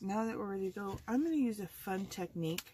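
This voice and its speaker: A woman with lively intonation. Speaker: card-making crafter. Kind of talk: tutorial. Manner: speaking louder than usual.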